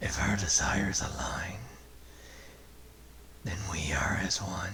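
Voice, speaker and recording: In a put-on character voice, a man speaks at a fairly slow pace with a very deep, low pitch that sounds raspy and gravelly, with a slight echo and light background noise. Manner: menacing.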